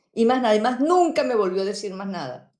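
A woman speaks with a fairly high pitch and a dark, mellow tone. Audible room echo surrounds her voice. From Venezuela. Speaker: YouTuber. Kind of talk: panel discussion.

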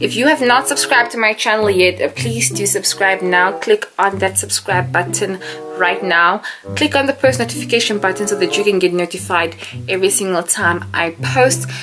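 Clear background music behind a woman speaking at moderate speed. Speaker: vlogger. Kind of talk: casual vlog chat. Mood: nervous excited. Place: home room. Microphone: camera far.

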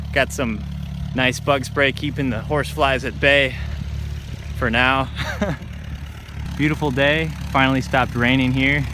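Noticeable background noise surrounds a man who speaks fairly slowly with long, frequent pauses and fairly even intonation, in a dry sound with no echo. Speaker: vlogger. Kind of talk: casual vlog chat. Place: farm machine. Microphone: phone near.

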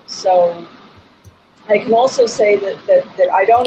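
Amid noticeable background noise, a woman talks with fairly even intonation. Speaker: pianist and music teacher; music teacher. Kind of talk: casual chat. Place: home room. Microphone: video call.

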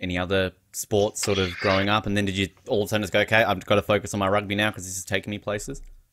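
Noticeable background noise sits behind a man's voice. He speaks very fast at a fairly low pitch. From Australia. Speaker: podcast host. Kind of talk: interview. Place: home room. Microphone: studio mic.

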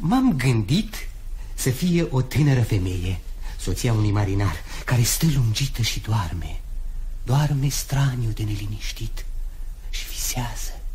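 This man talks at a very slow pace with long, frequent pauses. Light background noise can be heard. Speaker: radio drama actor. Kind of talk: radio drama. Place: studio. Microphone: studio mic.

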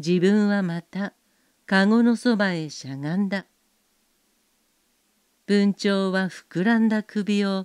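A woman's medium-pitched voice, calm and gentle in tone, with ordinary pitch variation, a very slow pace and long, frequent pauses, in a dry, close sound with no echo over a silent background on a very clean recording. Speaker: narrator. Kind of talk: bedtime story reading. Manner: calm, gentle.

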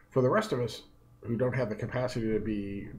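Over light background noise, a man talks at a moderate pace with a somewhat breathy voice. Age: 50s. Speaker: economist. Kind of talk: direct-to-camera talk. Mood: earnest, concerned. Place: office. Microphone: earbuds.

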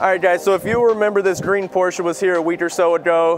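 Clear music plays behind a man who talks at a fairly quick pace with a high pitch for a man. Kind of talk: casual vlog shop tour. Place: garage.

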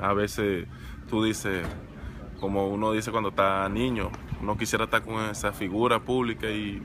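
A man with a fairly low voice speaks with fairly even intonation, the sound dry with no echo and the background noise noticeable. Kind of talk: interview answer. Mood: warm, grateful. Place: stadium. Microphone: phone near.

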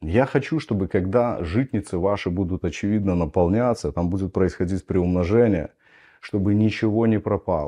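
Lively intonation marks this man's fairly low-pitched voice. He keeps a moderate pace against a quiet background. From Belarus. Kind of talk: lecture. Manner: teaching, explanatory. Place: home room.

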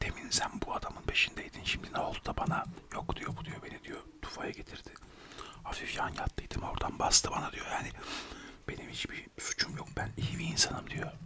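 Whispering and soft-spoken, a man talks at a moderate pace against noticeable background noise. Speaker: storyteller. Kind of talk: casual comic storytelling. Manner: close, soft whispered storytelling. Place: home room. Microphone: studio mic.

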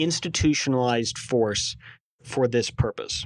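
A man talks with a medium pitch and ordinary pitch variation. He has an unremarkable speaking voice. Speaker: co-host, theology commentator. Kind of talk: casual chat.

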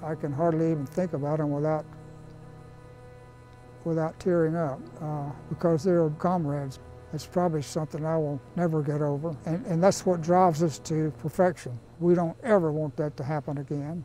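Faint music plays in the background, and the sound is dry with no echo. A woman speaks at a very deep, low pitch and moderate pace with fairly even intonation. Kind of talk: interview answer. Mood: emotional, grieving. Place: garden. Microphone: lapel.

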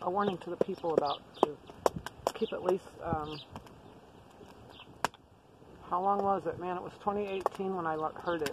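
A woman talks at a moderate pace, the sound dry with no echo and noticeable background noise behind her. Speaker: prepper vlogger. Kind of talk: casual vlog chat. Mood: relaxed, reflective. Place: tent.

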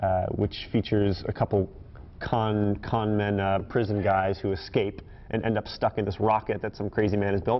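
A man speaks with a fairly low pitch in a plain, everyday voice. He keeps a moderate pace. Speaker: guest. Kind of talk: interview answer. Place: studio.

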